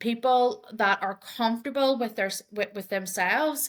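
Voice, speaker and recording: A woman talks with an Irish accent and ordinary pitch variation. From Ireland. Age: 30s. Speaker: diversity and inclusion advocate. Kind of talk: podcast interview. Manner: halting, with frequent repetitions and fillers.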